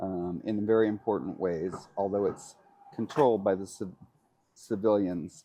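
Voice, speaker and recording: A man's fairly low voice with a dark, mellow tone, fairly even intonation, and long, frequent pauses. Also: moderate pace. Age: 60s. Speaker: interviewee. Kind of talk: interview. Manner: halting.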